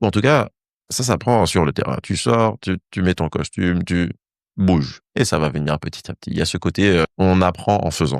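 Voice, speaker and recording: A man with an English accent speaks at a very deep, low pitch with lively intonation. The sound is dry and close with no echo, and the background is quiet. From Saint-Martin (Caribbean). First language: English (speaking French). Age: 30s. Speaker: dancer and former physicist. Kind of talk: interview conversation. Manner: animated storytelling.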